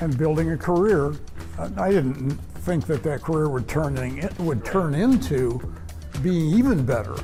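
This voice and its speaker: Music plays in the background as a man speaks at a fairly slow pace and a fairly high pitch, his voice making very wide pitch swings. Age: 70s. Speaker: businessman. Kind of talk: interview answer.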